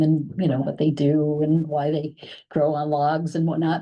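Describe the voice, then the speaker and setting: A woman speaks with a very deep, low pitch. Her tone is dark and mellow. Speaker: library staff programmer. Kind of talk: meeting report. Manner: fast; casual with many fillers.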